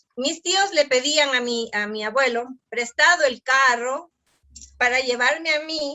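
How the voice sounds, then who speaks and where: A woman's high-pitched voice, with ordinary pitch variation and a fairly slow pace. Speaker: artisan entrepreneur. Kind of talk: interview.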